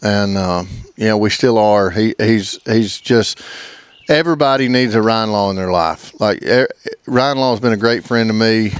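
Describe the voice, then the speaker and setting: A man with an Alabama accent speaks at a moderate pace and medium pitch, with ordinary pitch variation. His loudness is very even, though noticeable background noise can be heard. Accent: Southern US (Alabama). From US South, Alabama. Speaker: duck club owner, hunter. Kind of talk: casual interview chat. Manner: halting, stammers.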